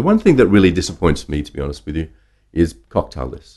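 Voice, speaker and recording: Talking very fast with an Australian accent, a man uses a very deep, low pitch full of vocal fry. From Australia (Brisbane). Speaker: drinks industry professional and brand ambassador. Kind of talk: interview conversation.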